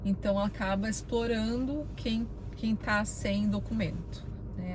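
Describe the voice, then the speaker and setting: A woman with a Brazilian accent, with audible room echo. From Brazil, Curitiba, Paraná. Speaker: vlogger. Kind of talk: casual vlog talk. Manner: conversational, many fillers.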